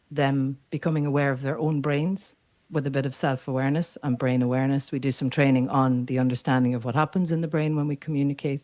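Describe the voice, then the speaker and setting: Speaking in an Irish accent at a fairly quick pace, a woman uses a very deep, low pitch and fairly even intonation, recorded very cleanly against a silent background. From Ireland. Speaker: neuro-culture communication coach. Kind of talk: podcast interview.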